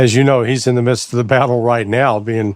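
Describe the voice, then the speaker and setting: An unremarkable speaking voice from a man at medium pitch, with fairly even intonation and a moderate pace. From United States. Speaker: podcast host, ex-intelligence analyst. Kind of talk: interview.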